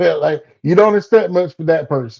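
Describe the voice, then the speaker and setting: In a South Georgia accent, a man speaks in a dark, mellow tone against a quiet background. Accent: Southern US, South Georgia. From US South, South Georgia. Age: 40s. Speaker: comedian. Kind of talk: casual interview.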